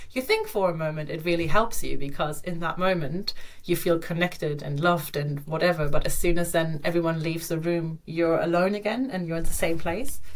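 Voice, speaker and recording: Amid noticeable background noise and audible room echo, a woman with a fairly low voice talks at a fairly quick pace with hardly any pauses and ordinary pitch variation. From Germany. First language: German. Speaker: digital nomad and yoga teacher. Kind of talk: podcast interview, casual chat.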